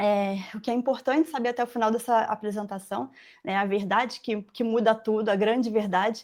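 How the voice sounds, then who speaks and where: A woman's voice with a fairly high pitch. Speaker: furniture-making mentor and former factory owner. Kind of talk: live webinar presentation. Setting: online live stream. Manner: halting, many fillers.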